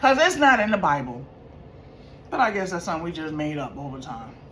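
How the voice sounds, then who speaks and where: Her tone animated, a woman speaks at a fairly quick pace and a fairly low pitch with very wide pitch swings, and audible room echo surrounds her. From New York. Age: 50s. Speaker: vlogger. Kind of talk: casual storytelling vlog.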